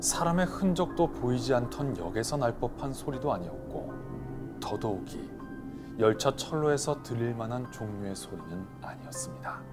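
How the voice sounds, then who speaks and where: Over background music, a man with a fairly low pitch speaks at a fairly slow pace, his pitch swinging very widely. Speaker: radio host and voice actor. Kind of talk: quiet late-night radio horror storytelling. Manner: quiet, soft-spoken.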